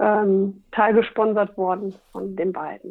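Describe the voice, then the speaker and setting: Very slowly, a woman talks with a monotone, flat intonation. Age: 40s. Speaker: radio worker and stand-up paddling athlete. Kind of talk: casual interview.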